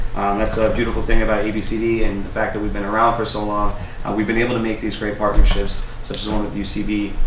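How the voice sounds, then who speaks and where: A man with an American accent, fairly low pitch and monotone, flat intonation, at a very fast pace over noticeable background noise and audible room echo. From Martha's Vineyard, Massachusetts. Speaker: youth program manager at a community agency. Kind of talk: radio interview.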